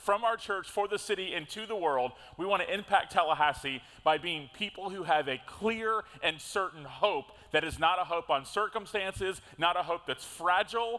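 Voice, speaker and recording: A man uses a raised, projected voice with a bright, sharp tone, speaking at a moderate pace with ordinary pitch variation. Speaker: pastor. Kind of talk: sermon. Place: church. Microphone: headset.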